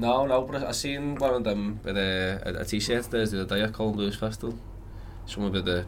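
With a Liverpool accent, a man talks fairly quickly at a fairly low pitch, using ordinary pitch variation. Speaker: singer and guitarist. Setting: studio.

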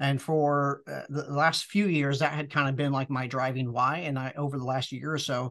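A plain, everyday voice at a moderate pace, with fairly even intonation. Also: man. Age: 40s. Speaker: business acquirer. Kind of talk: interview.

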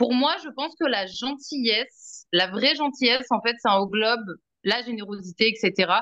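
This woman has a normal speaking voice, fairly high in pitch, with lively intonation at a fairly slow pace. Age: 30s. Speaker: energy healing client and podcast guest. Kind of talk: casual chat.

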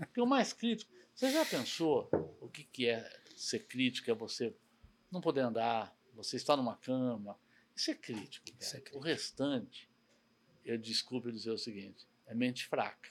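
With an unremarkable speaking voice, a man talks at a medium pitch and moderate pace, showing ordinary pitch variation and big swings in loudness. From São Paulo, Brazil. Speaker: logistics company president. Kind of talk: interview conversation.

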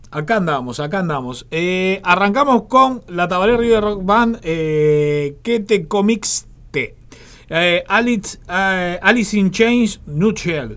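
This man talks at a very slow pace. His voice sits high for a man. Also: very clean recording, silent background. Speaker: radio host. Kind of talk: live radio DJ patter between songs. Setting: studio.

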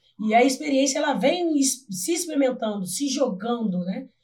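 Here is a woman with an ordinary speaking voice. She moves at a moderate pace with ordinary pitch variation. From Brazil, Volta Redonda (Rio de Janeiro state). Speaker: physical education teacher. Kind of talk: casual interview chat.

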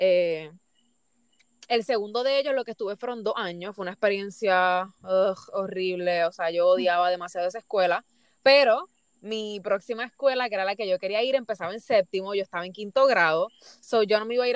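A woman speaks at a fairly quick pace and a medium pitch, with ordinary pitch variation and a dry, close sound that has no echo. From Puerto Rico. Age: 20s. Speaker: psychology student and blogger. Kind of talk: casual interview chat.

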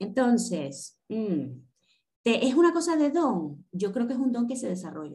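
A woman with a fairly high pitch and a dark, mellow tone speaks at a fairly slow pace, her voice showing vocal fry and very wide pitch swings. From Venezuela, Caracas. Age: 40s. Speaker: tarot reader and coach. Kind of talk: casual interview.

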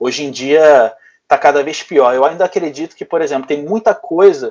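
This man has an ordinary speaking voice, pitched fairly high. He talks at a fairly quick pace with lively intonation. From Brazil, Rio de Janeiro. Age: 30s. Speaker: bodybuilding coach. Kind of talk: casual chat.

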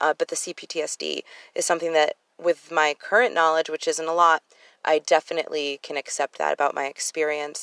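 Speaking fairly quickly in a fairly low pitch, a woman with an American accent keeps a flat, monotone delivery in a dry, close sound with no echo. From Connecticut, US. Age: 30s. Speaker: podcast host, abuse survivor. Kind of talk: personal testimony monologue. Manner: fast; casual, many filler ums.

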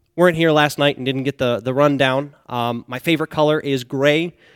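With an American accent, a man speaks in an ordinary speaking voice at a moderate pace and fairly high pitch, in a very clean, dry, close recording with no echo and a silent background. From Northeast Pennsylvania. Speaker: pastoral candidate. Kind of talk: sermon. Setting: church.

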